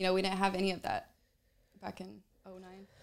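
Speaking very fast, a woman with an American accent keeps to a medium pitch. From Atlanta, US South. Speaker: adult film performer. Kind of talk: casual interview chat. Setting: convention venue.

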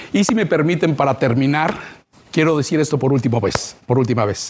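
Through noticeable background noise, a man talks at a fairly quick pace with a fairly high pitch and lively intonation. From Mexico, Veracruz. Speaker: TV news reporter. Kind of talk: farewell interview.

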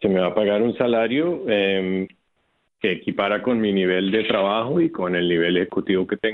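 Keeping very even loudness, a man speaks at a moderate pace and fairly low pitch with ordinary pitch variation. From Colombia, Bogotá. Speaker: electric utility executive. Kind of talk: radio interview. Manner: halting.

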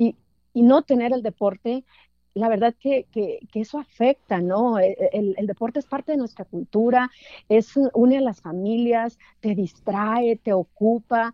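A woman's fairly high-pitched, unremarkable speaking voice, fairly slow in pace, with ordinary pitch variation. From Mexico, Durango. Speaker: sports journalist. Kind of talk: interview.

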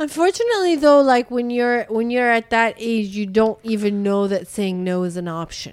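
A woman's unremarkable speaking voice with a Canadian accent, fairly high pitch, lively intonation, moderate pace and hardly any pauses. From Canada. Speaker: podcast host, former high school teacher. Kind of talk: casual interview chat.

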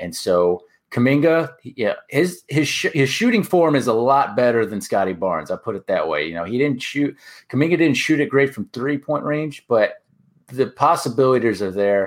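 A man with an American accent talks at a moderate pace in a medium pitch, his voice swinging very widely up and down. The recording is very clean, with a silent background. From Orlando, Florida, US. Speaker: basketball podcaster. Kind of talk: casual chat.

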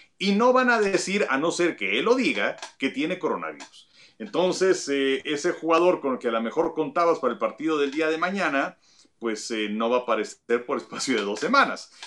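At a moderate pace, a man speaks with a fairly high pitch that swings very widely. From Mexico. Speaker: baseball pundit. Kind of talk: casual sports discussion.

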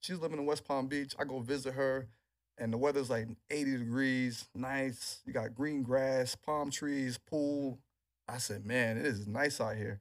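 In a very clean recording with a silent background, a man with an American accent speaks fairly slowly in an unremarkable speaking voice, his medium pitch carried by fairly even intonation. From New York City, Queens. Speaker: NFL strength and rehab trainer. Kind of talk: interview.

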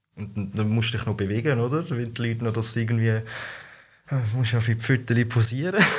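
A man with a medium pitch talks at a fairly quick pace in fairly even intonation, with audible room echo around him. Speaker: costumed street performer. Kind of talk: casual interview. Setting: studio.

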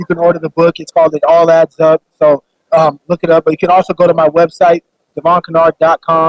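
A man's high-pitched, flat monotone with an American accent at a fairly quick pace, dry and close with no echo. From Phoenix, Arizona. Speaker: former football player and author. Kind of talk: interview. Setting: radio row at event.

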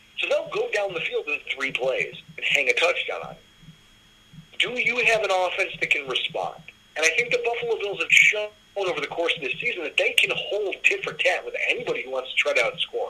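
Fairly brisk speech from a man with an American accent, noticeable noise in the background. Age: 30s. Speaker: sports podcast host. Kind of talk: casual sports chat.

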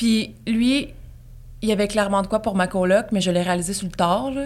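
This is an unremarkable speaking voice from a woman at a medium pitch. She talks at a moderate pace with ordinary pitch variation. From Gaspésie, Quebec. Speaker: podcaster. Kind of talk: casual chat.

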